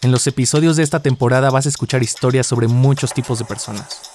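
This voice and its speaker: There is noticeable background noise as a man with a Mexican accent talks. His pace is fairly quick and his intonation fairly even. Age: 20s. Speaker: podcast host. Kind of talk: scripted narration.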